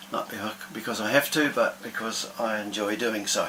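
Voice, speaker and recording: Speaking with a New Zealand accent at a medium pitch, a man comes through over noticeable background noise. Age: 70s. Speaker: electronics engineer sharing a personal health experience. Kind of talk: personal vlog monologue. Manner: hesitant, many fillers.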